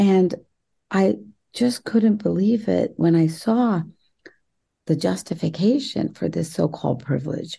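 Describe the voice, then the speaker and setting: Speaking fairly slowly in an animated tone, a woman with a fairly low pitch and vocal fry makes very wide pitch swings and takes long, frequent pauses. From West Virginia, US. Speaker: author and activist. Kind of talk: podcast interview. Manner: animated, effusive.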